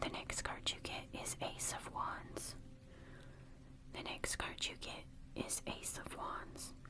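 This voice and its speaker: Someone whispers at a very slow pace, with long, frequent pauses. Background noise is noticeable. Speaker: tarot reader. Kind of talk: ASMR tarot reading. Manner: whispered, soft.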